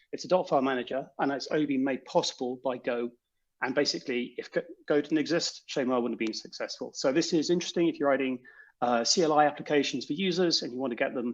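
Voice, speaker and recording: Over a quiet background, a man with a fairly high voice and a British accent talks very fast. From Britain. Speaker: software developer. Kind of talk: conference talk.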